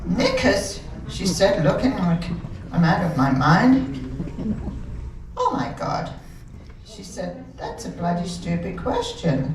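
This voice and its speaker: A woman with an American accent speaks at a very slow pace, with audible room echo and noticeable background noise. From England, London. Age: 80s+. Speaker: amateur comedian. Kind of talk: stand-up. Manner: too quiet at first. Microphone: far from the mic at first.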